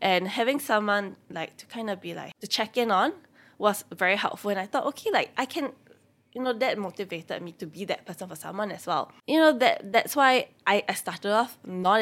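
A fairly high-pitched woman with a Singaporean accent speaks at a moderate pace with lively intonation, in a very clean recording with a silent background. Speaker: personal finance content creator. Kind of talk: casual interview chat.

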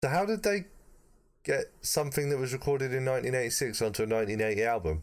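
Speaking very fast in a British accent, a man at a medium pitch keeps his loudness very even while his pitch swings very widely. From Britain. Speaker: podcast co-presenter reviewing music. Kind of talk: casual chat.

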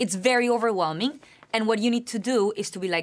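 With a Spanish accent, a woman speaks at medium pitch with ordinary pitch variation. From Colombia, Bogotá. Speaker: university student. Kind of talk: interview.

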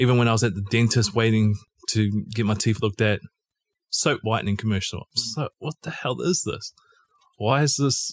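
A fairly quick voice with a New Zealand accent, dry and close with no echo. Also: man. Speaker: podcast co-host. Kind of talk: casual chat. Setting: video call.

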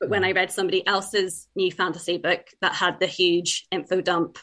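Speaking in an Irish accent, a woman keeps a monotone, flat intonation at a medium pitch and a moderate pace. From Ireland (born in England, moved young). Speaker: debut novelist. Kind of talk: interview.

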